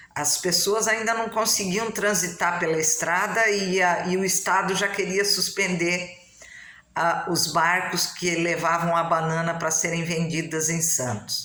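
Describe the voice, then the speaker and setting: Over noticeable background noise and audible room echo, a woman talks at a fairly slow pace with a fairly low pitch, fairly even intonation and very even loudness. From Brazil, São Paulo coast (São Sebastião, caiçara). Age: 60s. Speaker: local historian, family storyteller. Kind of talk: casual talk to camera about local history.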